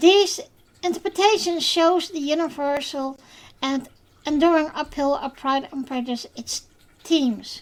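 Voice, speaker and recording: Speaking at a fairly slow pace with a Dutch accent, this voice has lively intonation and big swings in loudness. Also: woman, high pitch for a woman. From Netherlands. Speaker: podcast host. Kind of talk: podcast monologue. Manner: scripted reading; halting, many fillers.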